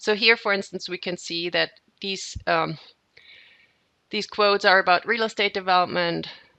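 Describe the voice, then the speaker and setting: This woman has a German accent. She talks at a moderate speed. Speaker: software trainer. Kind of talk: software tutorial webinar. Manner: hesitant, with fillers and repeats.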